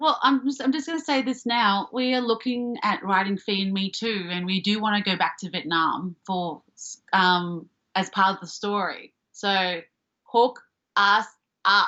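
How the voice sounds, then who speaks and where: In an Australian accent, a woman speaks at a medium pitch and a fairly slow pace. Her intonation is lively. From Australia, Melbourne (Springvale). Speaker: comedian and actor. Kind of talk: casual chat.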